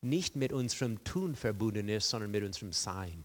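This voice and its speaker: A man with lively intonation at a moderate pace, in a very clean recording with a silent background. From rural farm upbringing. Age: 60s. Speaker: guest preacher. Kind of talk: sermon. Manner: halting, many fillers.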